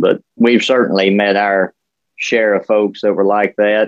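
In a rural Southern US accent, the speaker goes at a fairly slow pace with monotone, flat intonation. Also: man. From West Tennessee, Dyer County. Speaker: podcast co-host. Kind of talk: casual chat.

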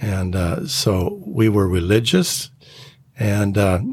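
A man's fairly low voice with ordinary pitch variation, over noticeable background noise. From Minnesota. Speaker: pastor. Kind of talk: testimony. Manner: halting.

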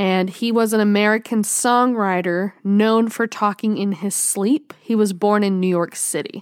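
On a very clean recording with a silent background, a woman with a normal speaking voice and medium pitch talks at a fairly slow pace with fairly even intonation and hardly any pauses. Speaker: podcast host. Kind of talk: casual chat.

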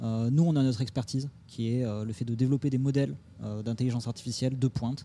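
A man talks at a very fast pace with a medium pitch. His tone is dark and mellow, and his intonation is fairly even. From Toulouse, southern France. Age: 30s. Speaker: AI startup co-founder. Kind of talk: interview. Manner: hesitant, many fillers.

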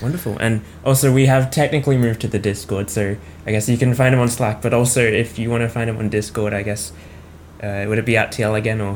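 Over noticeable background noise, a man with an Australian accent speaks very fast at a medium pitch with fairly even intonation. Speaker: podcast host. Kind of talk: interview.

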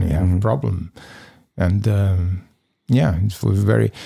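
At a moderate pace, a man with a Serbian accent speaks in a dark, mellow tone. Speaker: formerly homeless interviewee. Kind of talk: interview. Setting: studio. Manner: halting.

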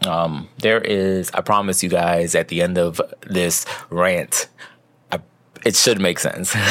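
A man with an American accent speaks at a very deep, low pitch, very slowly, with monotone, flat intonation and very even loudness. Long, frequent pauses break up his speech over noticeable background noise. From US, New York (the Bronx). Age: 40s. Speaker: podcast host. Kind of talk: personal monologue, candid reflection. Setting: recording alone in bed.

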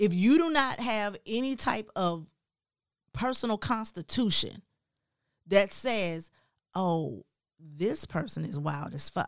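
Pausing long and often, a woman talks at a very slow pace with a medium pitch and very wide pitch swings, in a dry, close sound with no echo. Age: 40s. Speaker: podcast co-host. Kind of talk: casual chat.

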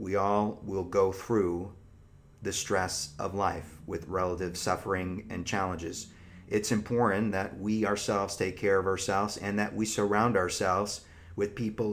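Speaking at a fairly slow pace, the man has a fairly low pitch. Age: 30s. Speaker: psychologist podcast host. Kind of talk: live-streamed advice talk to an audience. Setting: live stream with online audience.

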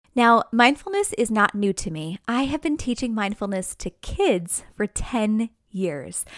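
A woman's fairly high voice in an American accent, lively in intonation and fairly slow in pace, with a dry, close sound and no echo. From New York, near New York City. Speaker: mindfulness teacher and podcast host. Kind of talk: casual monologue.

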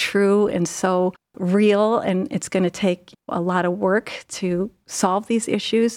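With an American accent, a woman with a plain, everyday voice speaks at a medium pitch and with fairly even intonation, the sound dry and close with no echo on a very clean recording with a silent background. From US Midwest, Ohio (Cleveland area). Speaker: nurse executive. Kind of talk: interview.

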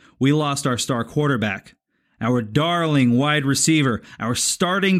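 The speaker has an ordinary speaking voice and moves at a fairly slow pace. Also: man. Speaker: podcast moderator. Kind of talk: podcast intro and recap.

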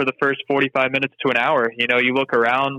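The speech moves at a very fast pace with monotone, flat intonation. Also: man. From Mississippi. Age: 20s. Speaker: tennis player and coach. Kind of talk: casual interview. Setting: phone call.

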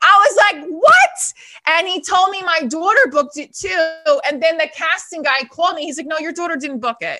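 A woman projects her raised voice at an extremely high pitch, bright and sharp in tone. She speaks at a moderate pace with lively intonation and big swings in loudness. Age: 30s. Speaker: divorced mother and college adjunct teacher. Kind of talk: casual interview. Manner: animated.

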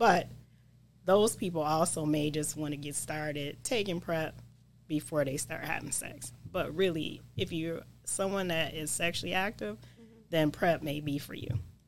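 A woman's very deep, low voice with vocal fry and ordinary pitch variation, at a moderate pace. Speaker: nurse practitioner, HIV prevention. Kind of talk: casual interview.

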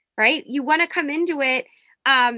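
With an American accent, a woman speaks in a raised, projected voice with a bright, sharp tone, a moderate pace and ordinary pitch variation against a quiet background. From US Northeast, Norristown near Philadelphia. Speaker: professor. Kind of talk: interview.

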